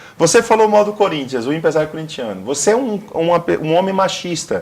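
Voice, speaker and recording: Talking at a fairly quick pace, a man speaks in a high voice. He has a northeastern Brazilian accent. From Brazilian Northeast. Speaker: career consultant. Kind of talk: TV interview. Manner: matches interviewer's speed.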